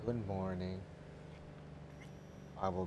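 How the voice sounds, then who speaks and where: With noticeable background noise behind him, a man speaks in a very deep, low pitch with a deadpan tone and monotone, flat intonation. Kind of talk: monotone script reading of a film screenplay, streamed live. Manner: monotone, deadpan.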